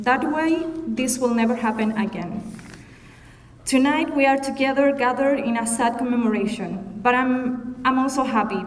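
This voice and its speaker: With audible room echo and noticeable background noise, a woman speaks at a high pitch with ordinary pitch variation. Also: moderate pace. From Chile. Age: 30s. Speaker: commemoration speaker. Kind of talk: prepared speech.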